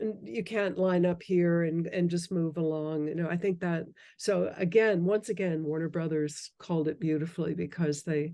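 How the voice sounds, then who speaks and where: Her voice has a dark, mellow tone and fairly low pitch as this woman talks at a moderate pace with fairly even intonation. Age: 60s. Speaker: film biographer and widow of a movie star. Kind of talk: podcast interview. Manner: halting with frequent restarts.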